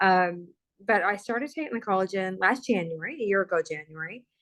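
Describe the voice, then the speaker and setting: A woman with a plain, everyday voice talks at a moderate pace in a medium pitch, with ordinary pitch variation and a quiet background. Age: 50s. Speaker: product user sharing testimony. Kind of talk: testimony.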